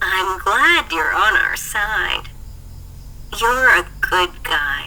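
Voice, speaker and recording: A woman's put-on character voice at a very slow pace over clear background noise. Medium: read story. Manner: warm, confident.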